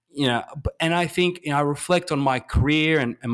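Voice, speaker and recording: On a very clean recording with a silent background, a man talks with an Australian accent. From Australia, Adelaide. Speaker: investor and writer. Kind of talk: podcast interview. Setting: podcast. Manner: halting, many fillers and repeats.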